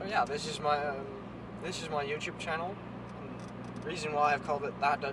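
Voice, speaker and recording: A man with a Dutch accent speaks at a fairly high pitch in monotone, flat intonation with long, frequent pauses. Noticeable background noise and audible room echo fill the recording. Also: fairly quick pace. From Netherlands. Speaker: car vlogger. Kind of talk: casual vlog. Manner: halting.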